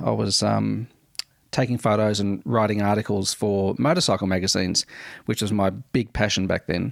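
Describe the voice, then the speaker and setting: Speaking at a moderate pace, a man uses a fairly low pitch with an Australian accent. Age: 40s. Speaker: podcast host. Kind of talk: casual monologue. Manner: hesitant with many fillers.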